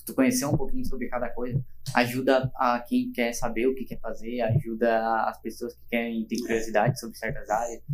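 Flat and monotone in intonation, a man talks at a fairly quick pace and medium pitch. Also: hardly any pauses, big swings in loudness. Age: 20s. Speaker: podcast co-host. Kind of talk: casual chat.

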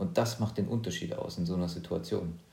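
A man with a dark, mellow tone talks at a fairly quick pace with ordinary pitch variation, and audible room echo surrounds his voice. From eastern Germany, near Leipzig. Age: 30s. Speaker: podcast co-host and professional pilot. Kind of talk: casual chat.

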